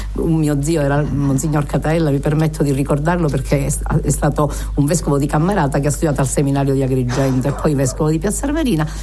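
A woman speaks at a very fast pace with very even loudness. Noticeable background noise and audible room echo fill the recording. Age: old. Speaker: radio host. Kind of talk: radio interview. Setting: studio.

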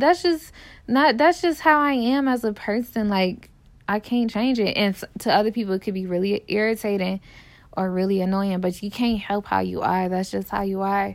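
With an American accent, this is a normal speaking voice with lively intonation, captured in a very clean recording with a silent background. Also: woman, medium pitch for a woman, moderate pace. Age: 20s. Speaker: podcaster. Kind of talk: personal monologue. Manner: casual, filler-heavy.

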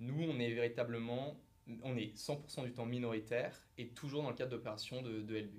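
A man in a normal speaking voice, medium in pitch, at a moderate pace with fairly even intonation. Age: 30s. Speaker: private equity investment manager. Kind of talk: interview.

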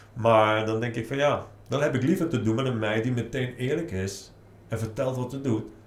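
A man at a moderate pace, with audible room echo. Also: medium pitch for a man, ordinary pitch variation. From Netherlands, Nijmegen. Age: 40s. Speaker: author. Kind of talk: interview.

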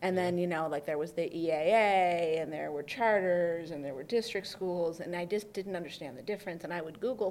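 This is an ordinary speaking voice with an American accent. It moves at a fairly quick pace with fairly even intonation. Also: woman. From US Midwest, Oakland County, Michigan (Detroit suburbs). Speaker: journalist and author. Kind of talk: casual interview. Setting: video recording.

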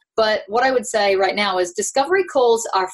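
Here a woman speaks with a New Zealand accent. Her intonation is lively and her pace fairly quick. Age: 30s. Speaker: life coach. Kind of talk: casual interview chat.

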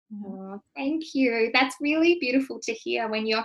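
Here is a woman with an unremarkable speaking voice. She talks at a moderate pace with lively intonation. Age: 30s. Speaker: nutritionist and coach. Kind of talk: interview.

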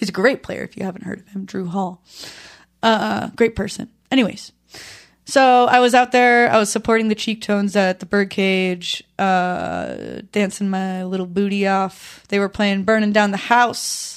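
A normal speaking voice with fairly even intonation. Loudness swings widely throughout. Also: woman, medium pitch for a woman, moderate pace, very clean recording, silent background. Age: 20s. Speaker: musician and music teacher. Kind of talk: casual chat. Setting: studio.

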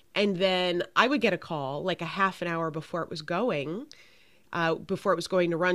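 A plain, everyday voice at a moderate pace on a very clean recording with a silent background. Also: woman. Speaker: podcast host, leadership coach, former casting executive. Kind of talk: casual interview. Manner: warm, effusive.

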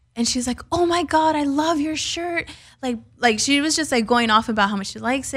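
The speaker is a woman with a high pitch and ordinary pitch variation. She talks at a fairly quick pace. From San Fernando Valley, Los Angeles. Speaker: entrepreneur, CEO. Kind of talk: interview. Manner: casual, animated.

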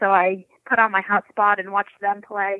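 Here is a woman with an American accent and an ordinary speaking voice. She keeps a medium pitch and a moderate pace. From Rhode Island and Florida. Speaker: professional hockey player. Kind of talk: interview.

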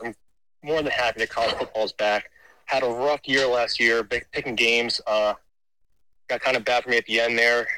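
A man with an American accent speaks at a medium pitch and moderate pace in a bright, sharp tone, with ordinary pitch variation, the sound dry and close with no echo on a very clean recording with a silent background. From Baltimore, US. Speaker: caller.

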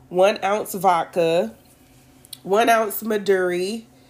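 A medium-pitched woman's voice at a very slow pace. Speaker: podcast host. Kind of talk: more formal, standard-sounding speech than her co-host. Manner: even, composed delivery; keeps her usual way of speaking.

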